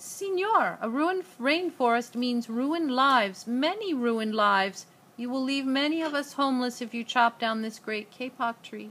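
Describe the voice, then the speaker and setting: In a put-on character voice, a woman speaks with a squeaky, high pitch at a moderate pace, hardly pausing at all. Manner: pleading.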